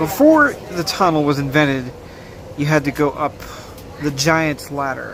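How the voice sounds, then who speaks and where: The speech moves at a moderate pace with long, frequent pauses, set against noticeable background noise. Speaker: vlogger. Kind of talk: travel vlog narration. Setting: on a train.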